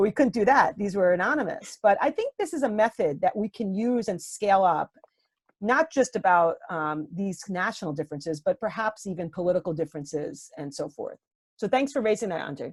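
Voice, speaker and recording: A woman with a New York accent at a medium pitch, talking at a fairly quick pace with very wide pitch swings, in a dry, close sound with no echo. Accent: New York American. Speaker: professor. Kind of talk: Q&A answer after a lecture. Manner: fast.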